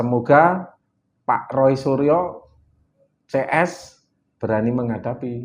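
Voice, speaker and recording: The speaker talks at a very slow pace with a Javanese accent. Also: man. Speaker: political activist. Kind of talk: interview.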